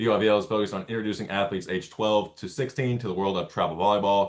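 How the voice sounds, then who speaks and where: Talking at a very fast pace, a man holds a fairly low pitch. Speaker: volleyball club program manager and coach. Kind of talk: online info meeting presentation.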